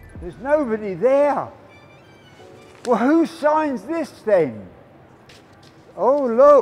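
A man speaks at an extremely high pitch, very slowly, with lively intonation and big shifts in volume. Long pauses come often, and music plays in the background. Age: 70s. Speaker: homelessness campaigner, ex-homeless reformed drug addict. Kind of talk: casual talk to camera. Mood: surprised, mildly frustrated. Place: street.

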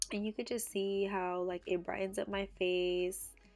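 With music playing in the background, a woman speaks at a medium pitch in a flat monotone and a fairly slow pace. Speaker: beauty vlogger. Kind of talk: casual makeup tutorial talk to camera.

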